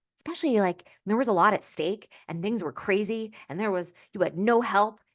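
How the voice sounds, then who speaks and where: Against a quiet background, a woman with a medium-pitched voice speaks with lively intonation. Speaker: career coach. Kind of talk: online course lecture. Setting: video call. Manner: fast; upbeat, filler words.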